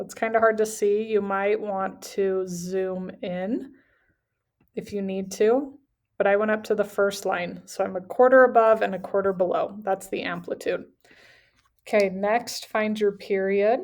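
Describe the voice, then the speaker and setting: The speaker has an unremarkable speaking voice, moving at a fairly slow pace with fairly even intonation. The recording is very clean, with a silent background. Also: woman, medium pitch for a woman. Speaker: math teacher. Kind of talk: tutorial.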